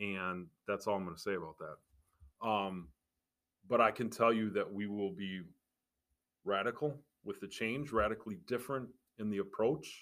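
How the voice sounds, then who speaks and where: A man with a fairly low pitch speaks at a moderate pace with ordinary pitch variation, pausing long and often. The recording is very clean and the background silent. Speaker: podcast host. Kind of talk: casual chat. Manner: relaxed, candid.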